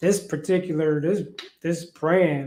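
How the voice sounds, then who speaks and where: A man speaks here in a high pitch. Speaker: fruitarian lifestyle coach. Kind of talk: casual live stream chat. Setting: live stream to social platforms. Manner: casual, halting with fillers.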